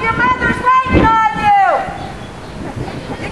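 A woman shouting in a raised, projected voice at an extremely high pitch, fairly slow, with ordinary pitch variation and crowd noise in the background. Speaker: school office worker. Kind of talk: shouted calls across a schoolyard. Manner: very loud, shouting. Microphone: camera far.

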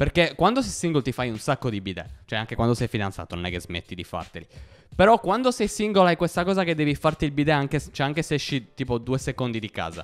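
A man talking at a very fast pace, very wide pitch swings, vocal fry, and a quiet background. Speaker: stand-up comedian. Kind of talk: stand-up comedy. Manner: casual, conversational storytelling with hesitant fillers. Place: home room. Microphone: handheld.

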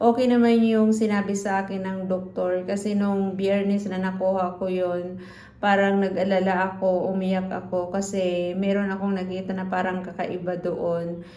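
Audible room echo surrounds a woman speaking in a monotone, flat way at a medium pitch. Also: moderate pace, hardly any pauses. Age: 50s. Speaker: vlogger and computer shop owner. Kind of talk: casual vlog talk. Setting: at home, partly outdoors in rain.

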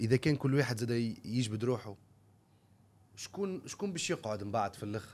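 The man's delivery is fairly quick. Lively intonation marks his speech. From Tunisia. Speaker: podcast host. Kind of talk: interview. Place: studio. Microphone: studio mic.

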